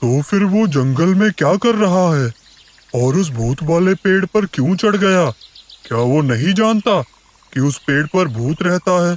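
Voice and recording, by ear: Using a cartoonish character voice, a man speaks at a high pitch and a moderate pace.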